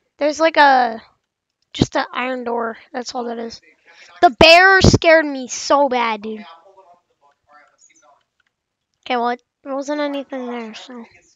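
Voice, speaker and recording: In a dry sound with no echo, a woman with a high pitch speaks at a fairly slow pace, with ordinary pitch variation and long, frequent pauses. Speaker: gamer. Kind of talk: gaming commentary.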